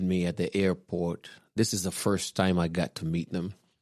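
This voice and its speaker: Speaking at a fairly quick pace with a Kenyan accent, a man with a very deep, low voice comes through on a very clean recording with a silent background. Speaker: guest, host's husband. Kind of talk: personal testimony.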